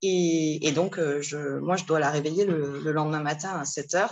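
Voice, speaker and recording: A woman's fairly low voice at a fairly slow pace. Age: 40s. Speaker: single mother seeking parenting advice. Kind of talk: casual chat. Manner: halting.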